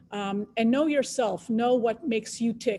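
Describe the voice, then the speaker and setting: Her voice fairly high, a woman has a dark, mellow tone and fairly even intonation. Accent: slight Israeli. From Israel. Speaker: biotech scientist, panelist. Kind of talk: panel discussion on careers.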